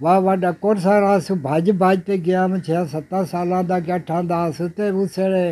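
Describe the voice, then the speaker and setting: A man's high-pitched voice with a dark, mellow tone and monotone, flat intonation. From Punjab, Pakistan. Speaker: partition eyewitness. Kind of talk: oral history interview answer. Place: home room. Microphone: phone near.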